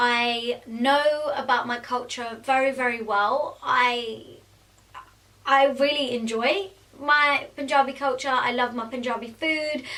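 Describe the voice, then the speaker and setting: Over noticeable background noise, a woman with a London accent speaks very slowly in a raised, projected, high voice with fairly even intonation. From England. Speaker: beauty vlogger and makeup artist. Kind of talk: casual Q&A vlog. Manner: chatty, with many fillers.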